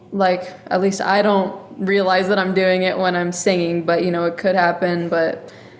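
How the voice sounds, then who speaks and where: With an American accent, a woman speaks at medium pitch and a moderate pace in a monotone, flat delivery with very even loudness and hardly any pauses, over noticeable background noise. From Texas. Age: young (19). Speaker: singer-songwriter. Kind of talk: interview.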